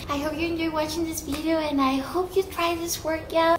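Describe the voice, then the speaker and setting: Amid noticeable background noise, a woman with a high pitch speaks at a moderate pace. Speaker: fitness vlogger. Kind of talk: casual vlog chat. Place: garage. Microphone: phone near.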